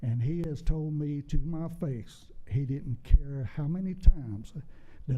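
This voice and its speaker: A man's fairly high, somewhat breathy voice with a dark, mellow tone, fairly slow pace and ordinary pitch variation, with audible room echo. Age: 70s. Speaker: public commenter at town council meeting. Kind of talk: public comment at council meeting. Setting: council chamber.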